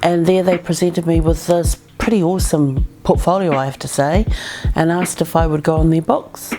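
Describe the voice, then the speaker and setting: Against background music, a woman with a New Zealand accent and a fairly low pitch talks at a fairly quick pace with fairly even intonation. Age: 50s. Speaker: former actress and model. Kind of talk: interview storytelling. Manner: hesitant with many fillers.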